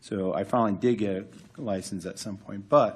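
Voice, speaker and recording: Male speaker with an American accent and ordinary pitch variation. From Florida, Orlando area (Winter Park). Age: 60s. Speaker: charter review commission member. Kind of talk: public meeting discussion. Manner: halting, many fillers and restarts.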